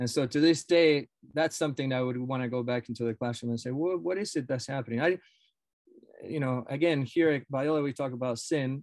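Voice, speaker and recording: With a Spanish accent and ordinary pitch variation, the speaker goes at a fairly quick pace in a dry, close sound with no echo against a quiet background. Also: man, medium pitch for a man. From Argentina. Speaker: professor of education. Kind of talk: casual interview.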